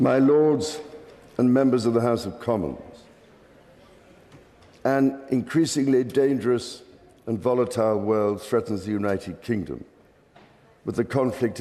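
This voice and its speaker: With a dark, mellow tone and medium pitch, a man speaks with ordinary pitch variation and long, frequent pauses. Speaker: monarch. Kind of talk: formal parliamentary speech read aloud. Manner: formal, measured, slow.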